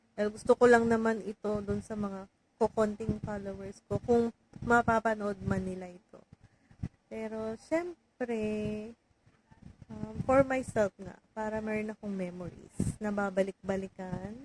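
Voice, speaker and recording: Soft-spoken and fairly high-pitched, a woman talks with fairly even intonation in a dry, close recording with no echo. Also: fairly slow pace, big swings in loudness. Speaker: vlogger, overseas worker. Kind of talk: casual vlog monologue. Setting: home, alone in room.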